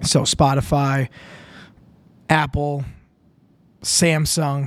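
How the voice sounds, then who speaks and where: An Upper Midwest accent on a very clean recording with a silent background. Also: man. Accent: Upper Midwest (Minnesota). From Minnesota, Winona. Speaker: podcast host. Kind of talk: casual solo monologue. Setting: home studio, drinking beer on camera.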